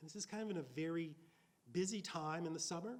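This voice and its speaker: The speaker has an American accent and ordinary pitch variation. Room echo is audible. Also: man. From US South, rural Mississippi. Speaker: author. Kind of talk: Q&A after a lecture.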